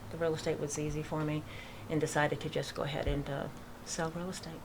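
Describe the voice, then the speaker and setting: Someone with a slight Boston accent speaks at a fairly quick pace over noticeable background noise. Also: woman. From Massachusetts, near Worcester. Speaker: real estate agent and veterans charity founder. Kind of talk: radio interview. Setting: studio.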